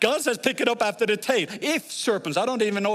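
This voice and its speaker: A man with a slight Norwegian accent talks at a fairly quick pace in a high, animated voice with lively intonation. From Norway. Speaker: guest preacher. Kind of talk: sermon.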